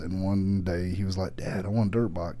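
A man with a Southern US accent speaks at a moderate pace. His pitch is very deep and low, and his tone is dark and mellow. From US South. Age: 40s. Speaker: motorcycle YouTuber. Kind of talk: casual chat. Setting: studio. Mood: relaxed storytelling. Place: studio. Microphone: studio mic.

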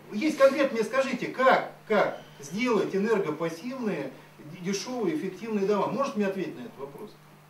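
A man's high-pitched voice at a moderate pace, with very wide pitch swings and big swings in loudness, amid light background noise and audible room echo. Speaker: politician; public speaker. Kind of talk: public hearing Q&A answers. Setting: public hearing round table. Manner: animated. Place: meeting room.

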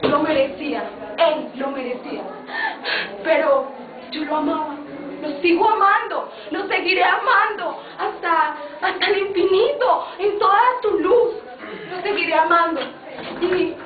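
Over noticeable background noise, a woman with an extremely high pitch speaks at a very slow pace, pausing long and often. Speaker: performer in a comic skit. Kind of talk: theatrical monologue. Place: home room. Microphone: camera far.

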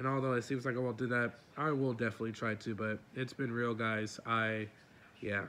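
A bright, sharp voice speaks at a fairly quick pace with monotone, flat intonation. Loudness stays very even over light background noise. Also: man. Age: young. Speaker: gaming youtuber; content creator. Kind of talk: casual vlog update. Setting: face cam recording at home. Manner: rambling, halting with fillers. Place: home room.

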